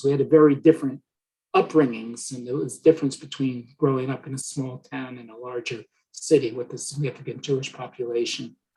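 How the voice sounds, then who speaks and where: The voice is somewhat breathy and flat in intonation, moving at a moderate pace. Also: man. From New Jersey (Rutherford). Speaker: historian. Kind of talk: lecture Q&A. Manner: halting.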